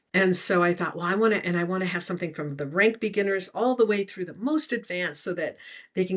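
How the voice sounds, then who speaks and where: A woman with an ordinary speaking voice talks at a fairly quick pace and medium pitch, with ordinary pitch variation. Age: 60s. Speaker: remote viewing teacher and author. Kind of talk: interview.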